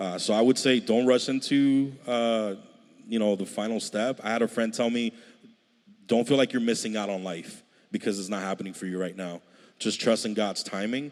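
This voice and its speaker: A man speaks at a moderate pace in a normal speaking voice. His pitch is medium, and his intonation stays fairly even. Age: 30s. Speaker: church creative director, panelist. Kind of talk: panel discussion.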